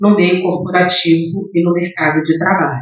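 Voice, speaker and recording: A woman is speaking. Her pitch sits fairly low. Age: 60s. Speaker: diversity and inclusion leader, speaker. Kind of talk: lecture. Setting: theatre stage with audience.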